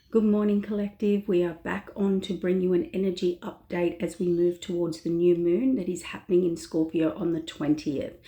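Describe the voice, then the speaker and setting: This woman has a fairly low pitch and a dark, mellow tone. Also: ordinary pitch variation, moderate pace, hardly any pauses. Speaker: tarot reader. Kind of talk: tarot energy reading. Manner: soft-spoken.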